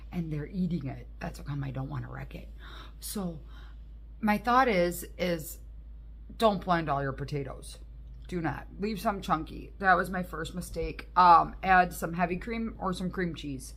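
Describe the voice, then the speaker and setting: Speaking at a fairly slow pace, a woman's voice swings widely in loudness within audible room echo. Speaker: cooking vlogger. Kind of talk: casual voiceover vlog; casual to-camera vlog. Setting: at home, living room. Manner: casual, halting with fillers; quiet, hushed.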